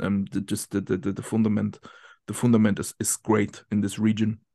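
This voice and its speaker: A man with a German accent speaks at a very fast pace with a dark, mellow tone. His intonation is fairly even, and the background is quiet. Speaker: football tactics analyst and coach. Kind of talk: interview. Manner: halting.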